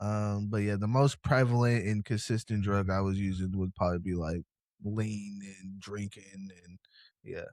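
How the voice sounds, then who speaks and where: Moderate pace and fairly even intonation, with big swings in loudness, in a dry, close sound with no echo on a very clean recording with a silent background. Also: man, fairly low pitch for a man. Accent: American. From Seattle, US Pacific Northwest. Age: 20s. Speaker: interview guest in recovery. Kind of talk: casual interview. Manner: laid-back.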